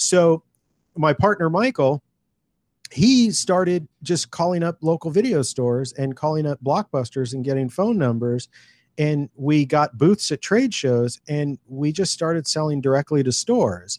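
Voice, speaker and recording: Someone with an ordinary speaking voice and an American accent talks at a fairly slow pace with lively intonation, on a very clean recording with a silent background. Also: man, fairly high pitch for a man, dry, close sound with no echo. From California. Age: 40s. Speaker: independent filmmaker. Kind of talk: interview storytelling.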